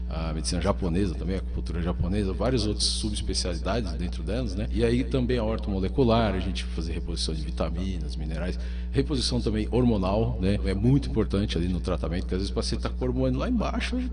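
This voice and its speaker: Music plays in the background as a man with a very deep, low pitch talks at a very fast pace with hardly any pauses and fairly even intonation, amid audible room echo. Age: 40s. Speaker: psychiatrist. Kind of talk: radio interview.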